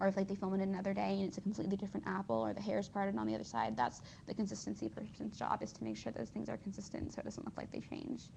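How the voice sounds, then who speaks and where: A woman at a very fast pace, with hardly any pauses. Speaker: vlogger. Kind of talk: casual monologue. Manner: rambling, hesitant with fillers.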